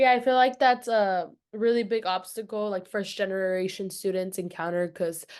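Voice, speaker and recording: Over a quiet background, a woman with medium pitch talks at a moderate pace with ordinary pitch variation. She takes hardly any pauses. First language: not English. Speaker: student podcast host. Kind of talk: casual interview.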